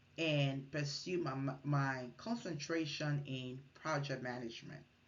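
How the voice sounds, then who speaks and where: A woman with a very deep, low pitch speaks at a fairly slow pace amid audible room echo. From Liberia. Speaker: MBA student. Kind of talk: class presentation. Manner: formal.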